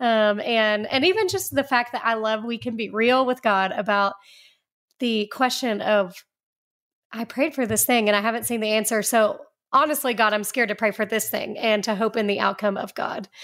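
In a very clean recording with a silent background, a woman uses a normal speaking voice. She talks at a moderate pace with a fairly high pitch and ordinary pitch variation. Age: 40s. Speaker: ministry director and author. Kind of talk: radio interview. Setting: studio.

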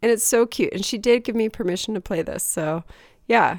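A woman speaks fairly quickly in a plain, everyday voice with lively intonation. The recording is very clean, with a silent background. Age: 40s. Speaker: podcast co-host. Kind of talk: casual chat.

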